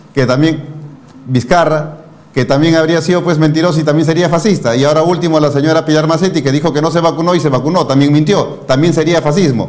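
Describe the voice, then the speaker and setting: A man at a very fast pace, fairly high in pitch, with very even loudness and fairly even intonation, amid audible room echo and noticeable background noise. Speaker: news interview host. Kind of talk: political commentary and interview.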